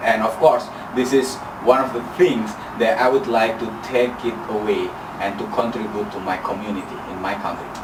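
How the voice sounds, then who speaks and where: Medium in pitch with ordinary pitch variation, a man speaks at a moderate pace. The recording carries audible room echo and noticeable background noise. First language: not English. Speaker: international exchange student. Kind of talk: farewell testimonial.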